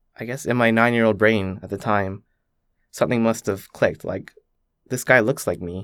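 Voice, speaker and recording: Recorded very cleanly against a silent background, a man speaks at a moderate pace in a fairly low pitch with ordinary pitch variation. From Canada. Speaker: student. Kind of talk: interview. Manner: reflective.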